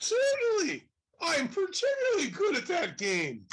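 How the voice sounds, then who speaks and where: The speaker uses a put-on character voice, squeaky and extremely high in pitch. The delivery moves at a moderate pace. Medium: stage play. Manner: eager, bumbling.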